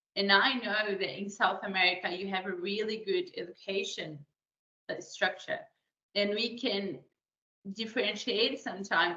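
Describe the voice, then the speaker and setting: A woman at a medium pitch with a Portuguese accent, at a moderate pace. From Brazil. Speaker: career advisor. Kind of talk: webinar presentation. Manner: hesitant, many fillers.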